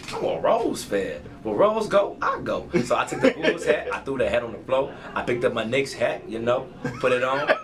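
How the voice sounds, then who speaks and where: A man speaks amid noticeable background noise. The room echo is audible. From Chicago. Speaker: rapper. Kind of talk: casual interview.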